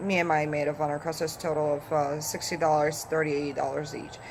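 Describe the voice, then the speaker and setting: A woman's very deep, low voice with a Polish accent, at a moderate pace, over noticeable background noise. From Poland. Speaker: vlogger. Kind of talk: casual vlog talk. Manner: halting, with fillers.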